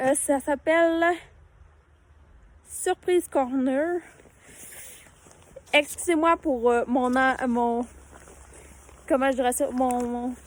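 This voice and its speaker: A woman's high-pitched voice at a very slow pace, with ordinary pitch variation and long, frequent pauses. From Quebec, Saguenay-Lac-Saint-Jean. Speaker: vlogger. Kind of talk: casual vlog talk. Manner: halting, many hesitations.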